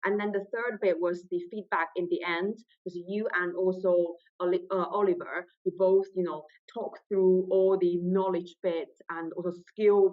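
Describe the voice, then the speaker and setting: A moderate pace in a Chinese accent. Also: woman. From China. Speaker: trainee solicitor. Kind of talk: interview.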